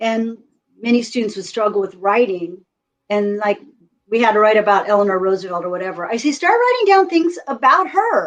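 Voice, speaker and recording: In a normal speaking voice with an American accent, a woman talks at a fairly quick pace, fairly high in pitch and with lively intonation. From US West Coast, California. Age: 60s. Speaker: retired teacher and author. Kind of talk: casual interview chat.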